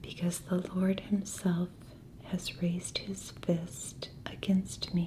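Soft-spoken and whispering, a woman talks at a very slow pace against light background noise. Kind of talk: scripture reading. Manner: soft-spoken, whispered. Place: home room.

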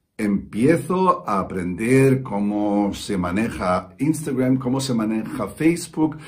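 The pitch swings very widely. The voice is somewhat breathy. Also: man. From Spain (Valencia); Spain. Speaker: musician; coach. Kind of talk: testimonial. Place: studio. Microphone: phone near.

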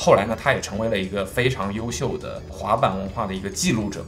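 Faint background music under a man talking at a fairly quick pace. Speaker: product reviewer. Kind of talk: product unboxing review. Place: studio.

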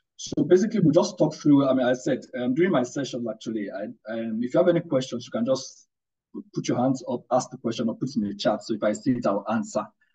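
Against a quiet background, a man speaks very fast in a dark, mellow, somewhat breathy tone with lively intonation. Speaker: guest. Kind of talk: webinar lecture. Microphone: video call.

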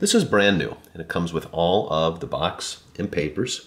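A man speaks with a very deep, low pitch. His intonation is lively and his pace moderate. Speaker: seller demonstrating a watch. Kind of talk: product demonstration commentary. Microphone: phone near.

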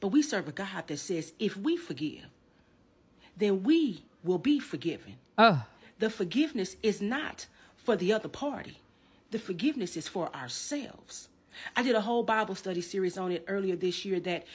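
The pitch swings very widely from high to low. The pace is moderate and the voice somewhat breathy. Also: woman. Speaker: minister. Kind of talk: sermon. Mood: earnest, preachy. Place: home room.

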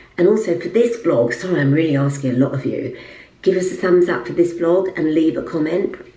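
Woman's fairly low voice with lively intonation and a fairly quick pace, in a room with audible echo. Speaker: lifestyle vlogger and presenter; lifestyle vlogger. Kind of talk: casual vlog talk. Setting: at home in apartment. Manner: quiet, voice kept down. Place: bathroom. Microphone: phone near.

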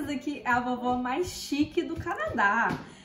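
Speech unfolds at a fairly slow pace. There is audible room echo and light background noise. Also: woman. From Minas Gerais, Brazil. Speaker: vlogger host. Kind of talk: casual talk to camera, food tasting. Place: kitchen. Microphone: camera far.

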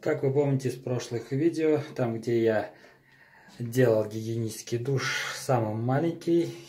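A man speaks at a fairly slow pace with a dark, mellow tone. His voice is somewhat breathy, with ordinary pitch variation. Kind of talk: tutorial. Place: bathroom. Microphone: phone near.

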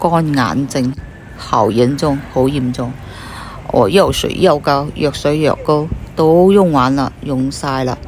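Very slowly and in a very deep, low voice, a woman speaks over light background noise, the sound dry with no echo. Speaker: vlogger. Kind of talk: casual vlog chat. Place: street. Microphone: phone near.

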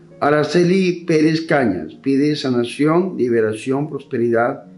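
With faint music in the background, a man talks fairly slowly. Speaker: priest. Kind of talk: reading mass intentions. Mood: calm, solemn. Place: church.

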